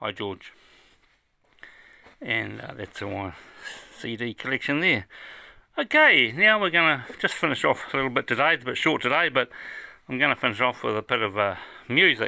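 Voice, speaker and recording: With long, frequent pauses, a man at medium pitch talks at a moderate pace in a relaxed tone that is also bright and sharp, his intonation lively. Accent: New Zealand. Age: 70s. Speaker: music fan and collector. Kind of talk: casual video tour. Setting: home room, downstairs. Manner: relaxed, casual.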